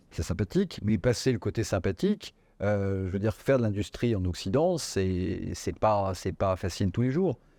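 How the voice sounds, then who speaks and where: In a very clean recording with a silent background, a man with a fairly low pitch talks at a moderate pace with ordinary pitch variation. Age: 60s. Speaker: business executive. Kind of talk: interview. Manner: hesitant, many fillers.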